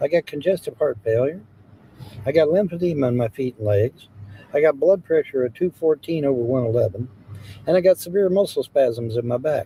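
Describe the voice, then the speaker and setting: A man's fairly high voice with an American accent and lively intonation, dry and close with no echo. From US Midwest, Hamilton, Ohio. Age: 60s. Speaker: live streamer. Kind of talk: casual live-stream chat reading comments. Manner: casual, repetitive.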